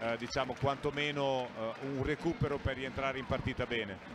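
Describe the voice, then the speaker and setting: A man speaks at a moderate pace. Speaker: basketball coach, expert co-commentator. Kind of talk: live sports commentary, calm tactical analysis of the game. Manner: measured, analytical, conversational.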